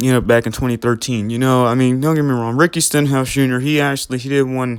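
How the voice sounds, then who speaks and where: This man talks very fast at a medium pitch. His intonation stays fairly even. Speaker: youtuber. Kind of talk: casual monologue vlog. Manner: halting, many fillers.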